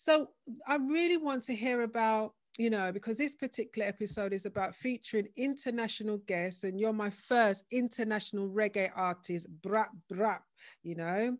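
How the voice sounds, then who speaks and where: Delivered at a moderate pace, a plain, everyday voice carries ordinary pitch variation. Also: woman, fairly high pitch for a woman. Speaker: podcast host. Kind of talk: interview.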